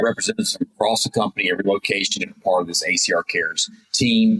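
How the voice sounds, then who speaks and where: A man with an American accent speaks at a fairly quick pace. The sound is dry and close, with no echo. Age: 60s. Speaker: business owner. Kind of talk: interview.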